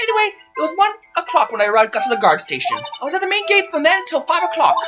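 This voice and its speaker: In a put-on character voice, a man talks at a very fast pace with an extremely high pitch and very wide pitch swings, while faint music plays in the background. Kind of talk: fan dub of a game. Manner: rambling, flirtatious.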